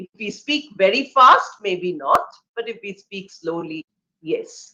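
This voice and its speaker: A bright, sharp tone with an Indian accent, very wide pitch swings, big swings in loudness and a very slow pace. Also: woman, medium pitch for a woman. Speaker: English professor. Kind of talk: lecture.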